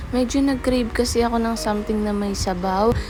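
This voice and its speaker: A woman speaks over noticeable background noise, with audible echo in the room. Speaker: food vlogger. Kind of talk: casual vlog. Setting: outdoors at night.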